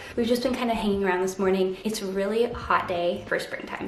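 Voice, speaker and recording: A soft-spoken woman of medium pitch is heard with audible room echo and noticeable background noise. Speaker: sewing vlogger. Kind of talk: casual vlog tutorial. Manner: soft-spoken, talking quietly.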